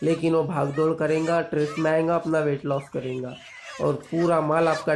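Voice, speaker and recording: A man talks fairly slowly in a monotone, flat way, with light background noise behind him. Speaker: poultry farmer vlogger. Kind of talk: tutorial commentary. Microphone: phone near.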